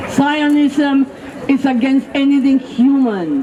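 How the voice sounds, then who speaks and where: With crowd noise in the background and audible room echo, a woman speaks at a very slow pace with a high pitch. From Mexico. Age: 70s. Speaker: rally speaker. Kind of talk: protest speech. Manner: impassioned.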